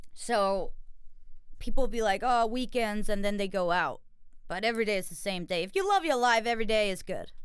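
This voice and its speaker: A woman speaks at a fairly quick pace in a fairly high pitch, with ordinary pitch variation. Audible echo from the room can be heard. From Denmark, Copenhagen. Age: 20s. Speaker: podcast host, singer and dancer. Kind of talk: casual chat. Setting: studio. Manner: animated.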